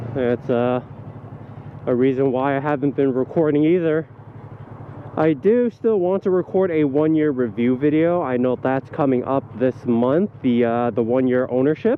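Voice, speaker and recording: A man at a medium pitch with a relaxed tone, very even loudness, moderate pace and ordinary pitch variation, over noticeable background noise. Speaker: motovlogger. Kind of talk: casual vlog monologue while riding. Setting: riding a motorcycle outdoors. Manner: relaxed with frequent fillers.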